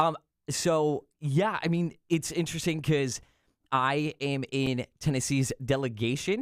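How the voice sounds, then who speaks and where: A man with an American accent speaks at a fairly slow pace in a plain, everyday voice, pitched fairly high with ordinary pitch variation. The recording is very clean, with a silent background. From Pennsylvania. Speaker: congressional staffer. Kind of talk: casual chat.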